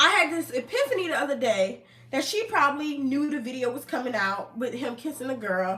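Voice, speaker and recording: A woman with an American accent and high pitch speaks in a raised, projected voice at a fairly quick pace, her tone animated and her pitch swinging very widely. Noticeable background noise runs underneath. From New Jersey, US. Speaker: online commentator. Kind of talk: casual live stream commentary. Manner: fast.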